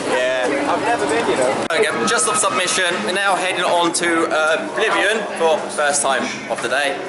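Over loud background noise, a man talks at a moderate pace with hardly any pauses. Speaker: vlogger filming the day. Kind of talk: casual vlog chat. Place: street. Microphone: phone near.

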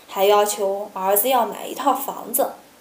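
A woman speaks at a fairly slow pace. Room echo is audible. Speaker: storytelling vlogger. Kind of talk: story narration to camera. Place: home room.

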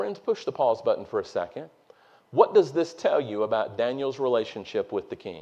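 In a Southern US accent, a man talks at a fairly quick pace. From North Carolina. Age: 40s. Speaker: preacher. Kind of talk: sermon. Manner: animated. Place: church.

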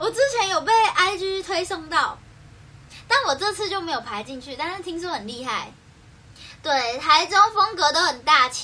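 At a fairly slow pace, a woman speaks in an extremely high, raised and projected voice, animated, with very wide pitch swings and big swings in loudness. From Taiwan, Keelung; Taiwan. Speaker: idol livestreamer. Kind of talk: casual livestream chat. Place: home room. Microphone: phone near.

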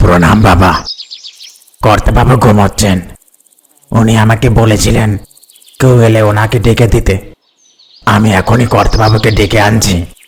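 A man does a cartoonish character voice, fairly low in pitch, monotone and flat, at a moderate pace and very even loudness. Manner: deferential, calls master sir.

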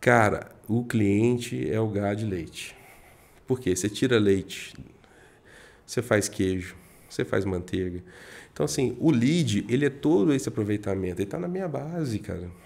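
Speaking at a moderate pace, a man with a fairly low pitch uses lively intonation and leaves long, frequent pauses. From Minas Gerais, Brazil. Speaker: guest, real estate professional; guest. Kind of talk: casual podcast interview. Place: studio. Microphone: studio mic.

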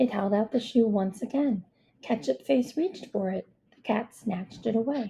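What is heard here is a natural reading voice.

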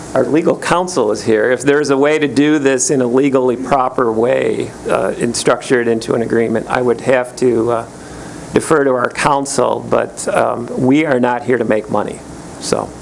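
Noticeable background noise behind a man's medium-pitched voice, fairly even in intonation, very even in loudness, at a moderate pace. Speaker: land conservancy representative. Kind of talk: public meeting comment. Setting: county board meeting at podium microphone.

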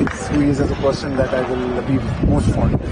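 A man's dry voice with no echo, crowd noise in the background. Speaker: team coach. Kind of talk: interview answer. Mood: relaxed, happy, joking. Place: stadium. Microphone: lapel.

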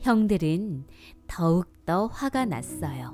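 With music in the background, a woman speaks in a gentle tone at a very slow pace, her pitch swinging very widely. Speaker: voice actor. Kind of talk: bedtime Bible story reading for children. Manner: soft-spoken, gentle.

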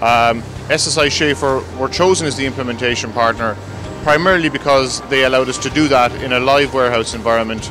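A man at a very fast pace with ordinary pitch variation, dry sound with no echo, and music in the background. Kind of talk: interview answer. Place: factory.

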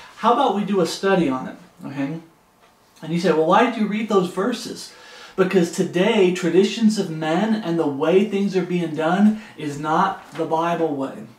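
Moderate pace and ordinary pitch variation, with audible room echo. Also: man, high pitch for a man. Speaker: home Bible teacher. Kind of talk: Bible study teaching. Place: home room. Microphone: camera far.

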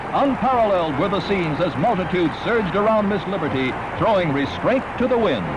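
Over loud background noise, a man at a high pitch speaks at a fairly quick pace in a dramatic, energetic tone. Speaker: newsreel narrator. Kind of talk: newsreel narration. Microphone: old recording.

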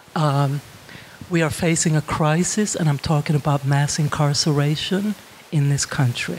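Over light background noise, a woman speaks at a very deep, low pitch, her intonation fairly even and her loudness very even. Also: moderate pace. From Finland. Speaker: criminal justice professor. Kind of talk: lecture. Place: hall. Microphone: handheld.

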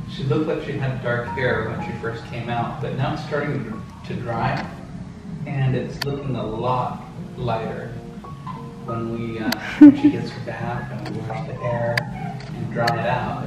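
Over clear music in the background, a man speaks at a fairly slow pace with long, frequent pauses and audible room echo. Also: fairly even intonation. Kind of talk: casual vlog chat. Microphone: phone near.

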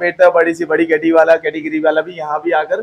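The man's high voice stays monotone and flat. He keeps a moderate pace. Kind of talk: interview answer. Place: cafe. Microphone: phone near.

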